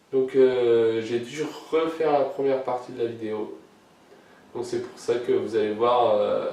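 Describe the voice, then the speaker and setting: A man talks at a very slow pace, with long, frequent pauses, audible room echo, and noticeable background noise. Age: 20s. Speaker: YouTuber. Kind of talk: casual Q&A vlog. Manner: hesitant, many filler sounds.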